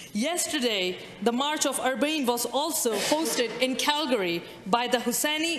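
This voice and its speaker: There is audible room echo and light background noise. A woman talks at a moderate pace in a high pitch. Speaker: member of provincial legislature. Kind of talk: parliamentary speech. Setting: legislature chamber. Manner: formal; measured. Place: hall. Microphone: podium.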